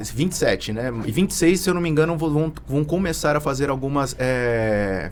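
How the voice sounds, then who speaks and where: A man talks at a moderate pace in a fairly high voice. His intonation is lively. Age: 30s. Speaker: tax consultant. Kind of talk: podcast interview. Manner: halting.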